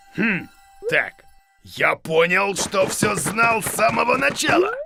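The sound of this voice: Over faint background music, a man performs a cartoonish character voice that is high-pitched, bright and sharp, with vocal fry, big pitch swings and a slow pace.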